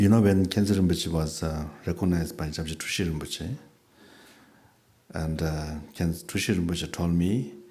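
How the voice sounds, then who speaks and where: With a South Asian accent, this man has a very deep, low pitch and a dark, mellow tone. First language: not English. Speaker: Buddhist teacher. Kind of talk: dharma talk with questions and answers. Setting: teaching event with audience. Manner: halting with fillers.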